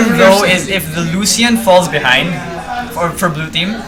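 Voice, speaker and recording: A man's high voice with lively intonation, crowd noise in the background. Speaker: esports shoutcaster in training. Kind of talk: esports game commentary (shoutcasting).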